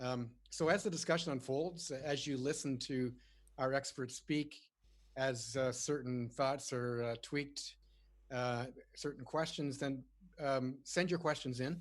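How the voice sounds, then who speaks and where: A man with a Canadian accent has an ordinary speaking voice and fairly even intonation. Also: medium pitch for a man, fairly slow pace. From Canada. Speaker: webinar moderator, retired naval officer. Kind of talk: panel moderation. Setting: webinar. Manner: frequent fillers, uh and um.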